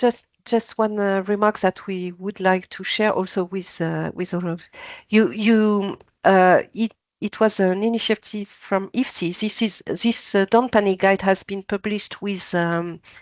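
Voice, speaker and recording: A medium-pitched woman with a French accent, fairly even intonation and a fairly slow pace. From France. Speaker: author. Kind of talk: panel discussion. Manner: halting.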